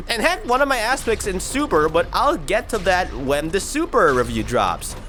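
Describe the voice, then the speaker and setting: A man's raised, projected voice, high in pitch with very wide pitch swings, at a moderate pace over music in the background. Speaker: anime reviewer. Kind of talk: unscripted video review. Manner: halting, self-described stuttering; casual, animated.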